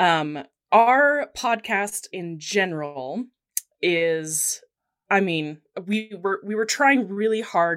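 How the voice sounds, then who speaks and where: Speaking with an American accent, a woman uses lively intonation. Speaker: podcast co-host. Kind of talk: casual chat.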